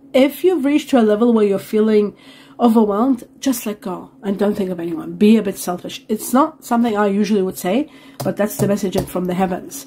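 With light background noise behind her, a woman talks fairly quickly in a somewhat breathy, dark, mellow voice with lively intonation. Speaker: tarot reader. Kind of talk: tarot reading commentary. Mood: warm, enthusiastic. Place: home room.

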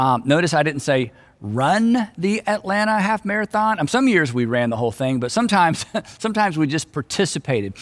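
Against a quiet background, a man talks at a very fast pace with very wide pitch swings. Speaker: pastor. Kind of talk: sermon. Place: stage.

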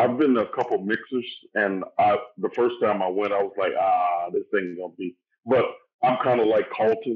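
A man with a Southern US accent at a moderate pace. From Louisiana. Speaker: actor. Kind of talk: casual chat. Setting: video call.

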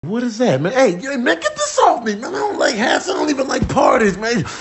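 Putting on a character voice, a man speaks at an extremely high pitch and a fairly quick pace. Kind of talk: comedic animal voice-over. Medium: dub.

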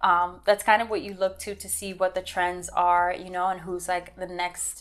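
A woman speaks in a monotone with an American accent, her intonation flat throughout. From Miami, Florida. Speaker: visual artist and author; interviewee. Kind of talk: interview monologue. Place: home room.

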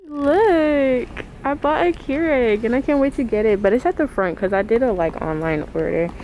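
A woman's high-pitched voice with very wide pitch swings, dry sound with no echo, and light background noise. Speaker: vlogger. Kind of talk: casual vlog chat. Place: shop. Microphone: phone near.

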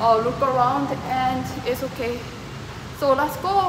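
A woman talks at a moderate pace. Her pitch varies in an ordinary way over noticeable background noise. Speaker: travel vlogger. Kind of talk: casual vlog chat. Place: station. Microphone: phone near.

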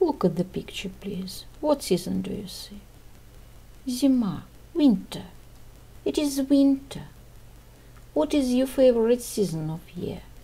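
A woman's fairly high, dark and mellow voice with vocal fry, very wide pitch swings, big swings in loudness, a fairly slow pace and long, frequent pauses. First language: Russian. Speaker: English teacher. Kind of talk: tutorial.

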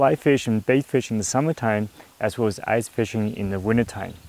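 At a fairly quick pace, a man talks with ordinary pitch variation in a dry sound with no echo. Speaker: fishing video host. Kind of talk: casual outdoor tutorial chat. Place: waterside. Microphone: lapel.

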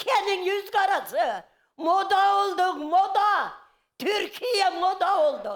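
A woman's extremely high-pitched voice with lively intonation at a very slow pace. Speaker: mother of a missing man. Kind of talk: emotional accusation and cursing. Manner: loud.

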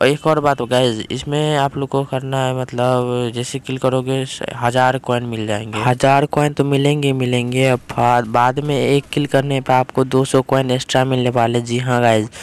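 This man speaks with few pauses. His pitch shows little movement. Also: medium pitch for a man, moderate pace.

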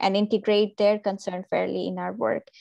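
A woman keeps a moderate pace, and the background is quiet. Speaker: training program organizer; call host, panel moderator. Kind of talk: moderating a panel. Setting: video call. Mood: friendly, smiling. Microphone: video call.

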